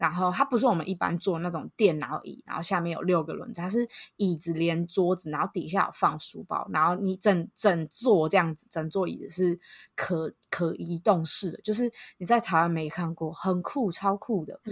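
An ordinary speaking voice at a moderate pace shows ordinary pitch variation and big swings in loudness, with a dry, close sound and no echo. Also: woman, fairly low pitch for a woman. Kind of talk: casual chat.

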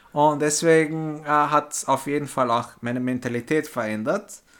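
This is an unremarkable speaking voice from a man at a fairly slow pace. His pitch varies in an ordinary way. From Vienna, Austria (born in Istanbul). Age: 30s. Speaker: former exchange student. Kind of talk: interview.

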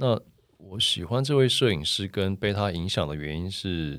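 With lively intonation, a man speaks at a fairly slow pace in a very deep, low pitch. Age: 40s. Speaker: photographer. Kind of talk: casual interview.

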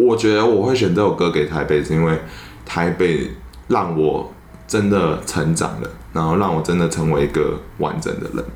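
A man's very deep, low voice amid noticeable background noise and audible room echo. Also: lively intonation, moderate pace. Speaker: podcaster. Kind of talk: casual chat.

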